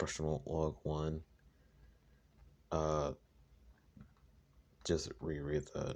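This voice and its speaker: Long pauses come often in this very slow speech. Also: man, very deep, low pitch for a man. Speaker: gaming lore youtuber. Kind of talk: casual video commentary. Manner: halting. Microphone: recorded on phone.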